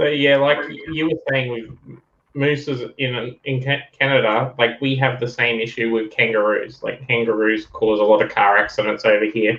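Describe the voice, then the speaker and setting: A man's medium-pitched voice with an Australian accent, fairly even intonation, a moderate pace and hardly any pauses. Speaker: collecting channel host. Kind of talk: casual chat.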